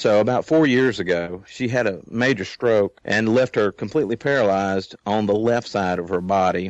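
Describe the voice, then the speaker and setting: Against a quiet background, a man speaks at a moderate pace and a fairly low pitch, with ordinary pitch variation. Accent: Southern US. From Louisiana. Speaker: guest. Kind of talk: casual conversation. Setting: internet call.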